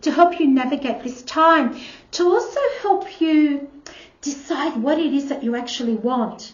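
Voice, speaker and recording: Room echo can be heard around a woman with a high pitch. She speaks at a moderate pace with ordinary pitch variation. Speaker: tarot reader. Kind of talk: tarot reading.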